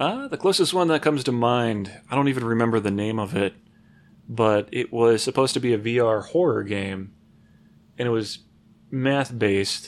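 A man with a plain, everyday voice, medium in pitch, at a moderate pace with ordinary pitch variation. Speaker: IT worker and gamer. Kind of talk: casual chat.

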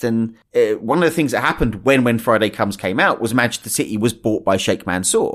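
On a very clean recording with a silent background, a man of medium pitch talks at a very fast pace with very wide pitch swings. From Essex, England. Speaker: freelance journalist and author. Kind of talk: casual interview.

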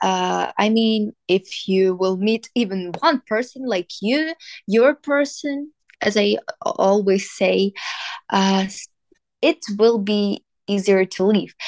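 In a dry, close sound with no echo, a woman with a fairly high pitch speaks at a very slow pace with lively intonation. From Ukraine, Kyiv. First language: Ukrainian or Russian. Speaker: student. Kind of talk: interview. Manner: hesitant, many fillers.

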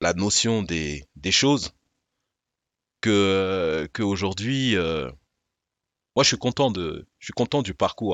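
Intonation is lively while the delivery crawls along at a very slow pace. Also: man. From Paris suburbs, Val-de-Marne. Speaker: rapper and podcast host. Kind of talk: casual studio conversation.

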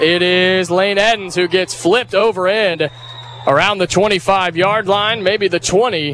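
A man speaks with an American accent at a high pitch with ordinary pitch variation. Noticeable background noise runs underneath. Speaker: play-by-play radio announcer. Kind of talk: live play-by-play commentary of a high school football game. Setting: press box broadcast booth at stadium. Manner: loose, joking banter during breaks.

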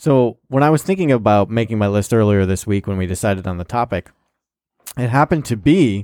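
The speech moves at a fairly quick pace with lively intonation and long, frequent pauses, dry and close with no echo on a very clean recording with a silent background. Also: man. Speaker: comedy podcast co-host. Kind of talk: casual chat.

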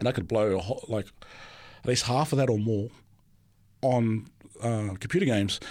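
With an Australian accent, a man talks at a very fast pace and medium pitch, his pitch variation ordinary. The recording is very clean, with a silent background. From Australia, Sydney. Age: 40s. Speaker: theology student. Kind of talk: testimony. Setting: studio.

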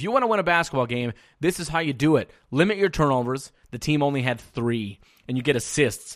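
The recording is very clean, with a silent background. A man with a normal speaking voice and fairly high pitch talks at a moderate pace with lively intonation. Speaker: sports radio host. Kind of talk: live sports commentary, recapping games play by play. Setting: studio.

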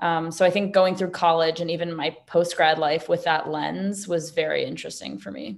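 Speaking at a moderate pace with hardly any pauses, a woman uses a fairly low pitch, ordinary pitch variation and vocal fry. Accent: American. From New York City. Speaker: entrepreneur. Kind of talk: interview.

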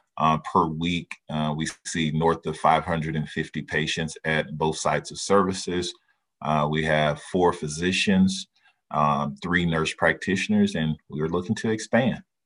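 A man with a very deep, low voice and an American accent, his intonation fairly even. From Texas, Dallas. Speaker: healthcare executive. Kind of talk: Q&A webinar with students. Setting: video call. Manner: hesitant, many filler words.

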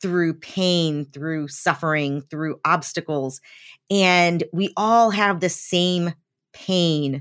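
With an American accent, a woman with a fairly low voice speaks at a very slow pace and ordinary pitch variation in a very clean recording with a silent background. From US South, eastern Tennessee. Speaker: accountant and business owner. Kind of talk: interview.

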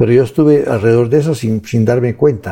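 Somewhat breathy and dark, mellow in tone, a man speaks fairly quickly at a medium pitch with ordinary pitch variation. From Guatemala, Huehuetenango. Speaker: economist and author. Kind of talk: interview. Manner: halting, many repetitions.

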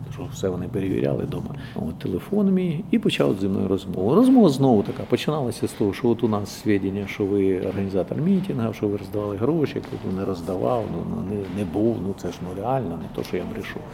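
With noticeable background noise behind him, a man talks at a fairly quick pace in a fairly low pitch with hardly any pauses. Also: lively intonation. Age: old. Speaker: theatre director and regional councillor. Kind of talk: testimony interview.

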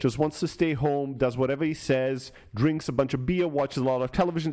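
Fairly high in pitch, the man has an unremarkable speaking voice with lively intonation. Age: 40s. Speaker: podcast co-host. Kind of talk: casual chat.

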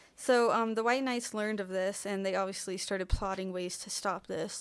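At a fairly quick pace, a woman speaks at medium pitch with fairly even intonation on a very clean recording with a silent background. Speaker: podcast co-host. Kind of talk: storytelling from research notes. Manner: soft-spoken.

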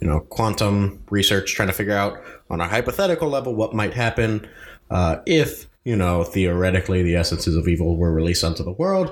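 A plain, everyday voice from a man, with lively intonation and a moderate pace. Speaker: dungeon master. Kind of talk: tabletop role-playing game podcast, narrating and voicing characters.

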